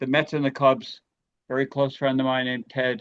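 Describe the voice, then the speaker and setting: Here is a man with a New York accent. He talks at a moderate pace with a fairly high pitch. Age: 60s. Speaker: comedian. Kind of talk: radio interview.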